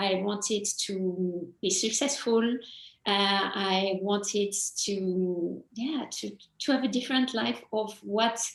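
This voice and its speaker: A woman's medium-pitched voice with a French accent and ordinary pitch variation. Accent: French, still noticeable. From France, small town. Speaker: mindset coach. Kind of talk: interview.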